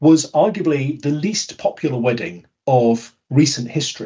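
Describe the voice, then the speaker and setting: A man with a British accent talks in a somewhat breathy voice. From United Kingdom. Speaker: conference speaker on behavioural science. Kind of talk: webinar presentation.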